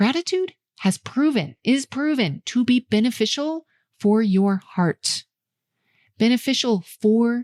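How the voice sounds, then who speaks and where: On a very clean recording with a silent background and a dry, close sound with no echo, a woman speaks in a calm tone with lively intonation. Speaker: eating coach and podcast host. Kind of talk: solo podcast talk.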